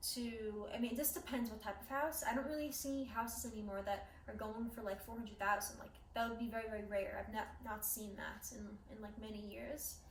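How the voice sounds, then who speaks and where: A woman's fairly high voice in a New York accent, at a moderate pace with fairly even intonation, over noticeable background noise. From Queens, New York City. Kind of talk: casual talk to camera.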